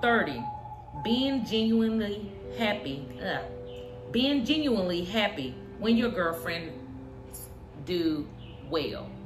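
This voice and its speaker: Music plays in the background as a woman speaks at a very slow pace, with long, frequent pauses and audible room echo. Her medium pitch swings very widely. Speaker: YouTuber sharing opinions. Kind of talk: casual opinion monologue. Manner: halting, tongue-tied.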